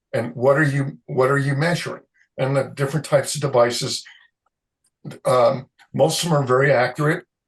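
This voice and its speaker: This man talks at a fairly quick pace in a fairly high, somewhat breathy voice. His intonation stays monotone and flat. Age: 60s. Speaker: concrete moisture expert, chemist. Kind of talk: interview. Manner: halting.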